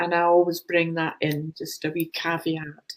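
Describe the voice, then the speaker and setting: A woman with a Glaswegian accent talks at a fairly low pitch. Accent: Glaswegian Scottish. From Scotland, Glasgow. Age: 70s. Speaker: spiritual channeller, author. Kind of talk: casual chat.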